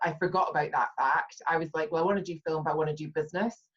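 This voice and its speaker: The woman's voice is very deep and low in pitch, with a somewhat breathy quality. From Scotland, Perth. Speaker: brand communications strategist. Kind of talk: interview conversation.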